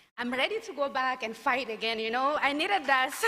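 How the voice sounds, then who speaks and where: Over a very clean recording with a silent background, a woman talks at a fairly quick pace in a bright, sharp tone with fairly even intonation. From northern Mali (Timbuktu). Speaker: founder of a peace-building organization, alumna speaker. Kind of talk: keynote speech. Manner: halting, many fillers and restarts.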